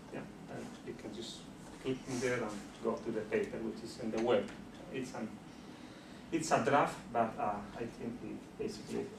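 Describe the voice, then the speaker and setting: A Spanish accent with audible room echo. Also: man. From Bolivia. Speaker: sociologist and university lecturer. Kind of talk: lecture. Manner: halting with frequent fillers.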